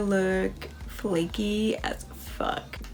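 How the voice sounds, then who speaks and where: A woman's fairly even intonation over light background noise. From US Midwest, Kansas. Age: 20s. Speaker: makeup artist; makeup vlogger. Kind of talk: makeup tutorial. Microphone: phone near.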